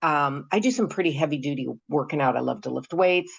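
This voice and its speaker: A woman's very deep, low voice with vocal fry, over a quiet background. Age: 70s. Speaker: product user giving testimonial. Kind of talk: testimony. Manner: halting, many fillers.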